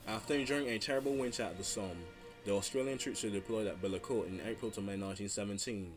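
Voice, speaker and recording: A man speaks at a very fast pace in a fairly low pitch. Music plays in the background. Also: ordinary pitch variation. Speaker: history video narrator. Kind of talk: history documentary narration.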